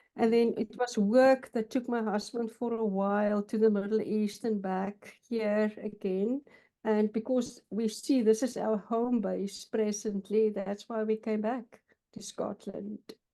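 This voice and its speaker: A woman with a South African accent speaks fairly slowly in a dark, mellow tone with monotone, flat intonation. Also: fairly high pitch for a woman. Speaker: counselor. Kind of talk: interview. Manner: halting.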